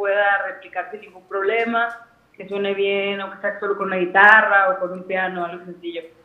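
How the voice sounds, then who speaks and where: Over noticeable background noise and audible room echo, a woman speaks at a medium pitch and moderate pace in a monotone, flat intonation. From Guadalajara, Mexico. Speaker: singer-songwriter. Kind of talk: interview.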